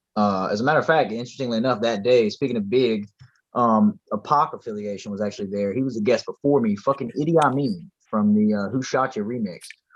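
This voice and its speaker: In an American accent, a man with a medium-pitched voice talks at a very fast pace. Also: ordinary pitch variation. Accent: Southern accent likened to a Texas rapper. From rural US. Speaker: rapper. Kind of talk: casual chat. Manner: animated.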